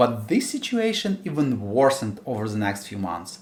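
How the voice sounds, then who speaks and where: With a strong Ukrainian accent, a man speaks with very wide pitch swings. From Ukraine. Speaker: indie game developer and YouTuber. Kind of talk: scripted narration.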